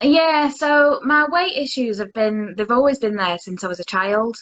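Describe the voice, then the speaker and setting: A woman speaks with a Lancashire accent at a moderate pace. Her intonation is lively. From Lancashire, northern England. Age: 30s. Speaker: interviewee sharing mental health story. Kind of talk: interview. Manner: halting.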